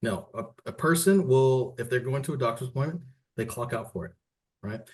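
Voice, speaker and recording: A man's fairly quick speech is somewhat breathy and shows ordinary pitch variation. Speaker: workers compensation staff presenter. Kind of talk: webinar presentation. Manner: conversational.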